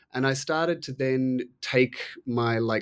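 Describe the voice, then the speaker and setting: A man speaks with an Australian accent. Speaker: author and art historian. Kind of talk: interview. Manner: halting, many fillers.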